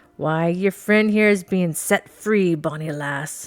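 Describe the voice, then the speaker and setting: A gruff, put-on character voice at a middle pitch moves along at a fairly slow pace. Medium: read story. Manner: mocking, menacing.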